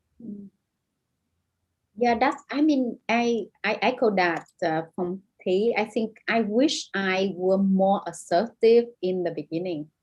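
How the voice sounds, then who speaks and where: A woman with a Vietnamese accent speaks at a very slow pace. Her pitch is medium, with ordinary pitch variation. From northern Vietnam. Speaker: novelist. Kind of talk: panel discussion.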